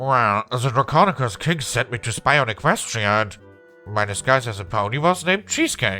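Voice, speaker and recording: A man's put-on character voice at a medium pitch and moderate pace, with faint music in the background. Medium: read story. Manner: theatrical, laughing.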